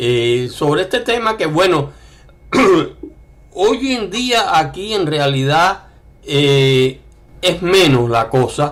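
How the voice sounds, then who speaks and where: The speaker is a man. His pitch is fairly high. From Cuba. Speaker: writer. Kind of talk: interview conversation. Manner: hesitant, many fillers.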